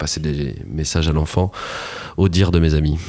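A man speaks at a moderate pace. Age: 30s. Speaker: podcast guest. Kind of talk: casual chat. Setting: studio.

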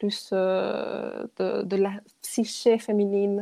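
A woman's dark, mellow tone at a very slow pace. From Chile. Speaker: dance therapist and yoga teacher. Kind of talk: interview testimony. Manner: halting, many repetitions.

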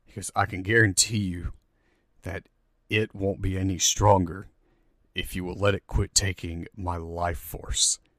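A man in a put-on character voice speaks at a very deep, low pitch, raspy and at a moderate pace, with long, frequent pauses on a very clean recording with a silent background. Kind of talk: game master voicing a villain. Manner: menacing, resentful, commanding.

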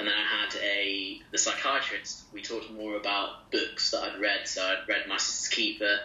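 The man keeps a moderate pace. Noticeable background noise sits beneath his speech. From English East Midlands, Loughborough. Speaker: junior doctor and clinical teaching fellow. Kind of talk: interview. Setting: video call from home kitchen.

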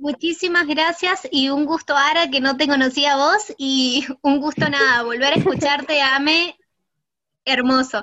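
Speaking at a fairly slow pace, a woman keeps a high pitch with ordinary variation and very even loudness. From Argentina, San Juan. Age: 20s. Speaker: psychology student. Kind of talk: casual chat.

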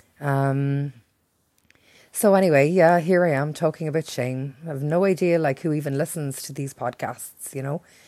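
In a strong Irish accent, a woman with a very deep, low pitch and a dark, mellow tone speaks at a moderate pace, her intonation fairly even but her loudness swinging widely. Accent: thick Irish. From Ireland. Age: 40s. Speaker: podcast host. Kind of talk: personal monologue. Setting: at home by a window.

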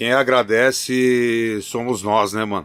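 A man's unremarkable speaking voice, fairly low in pitch, on a very clean recording with a silent background. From Campinas, São Paulo state, Brazil. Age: 50s. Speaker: rapper, group vocalist. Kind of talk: interview chat. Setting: studio.

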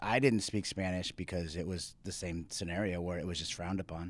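A man with an American accent speaks in a very deep, low pitch. His intonation is fairly even and his pace moderate. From US, Mexican-Italian-French heritage. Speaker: church member guest. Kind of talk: casual chat.

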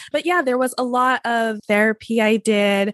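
A woman with a plain, everyday voice speaks at a moderate pace with fairly even intonation, the sound dry and close with no echo against a quiet background. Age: 30s. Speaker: success coach and writer. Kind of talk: casual interview chat.

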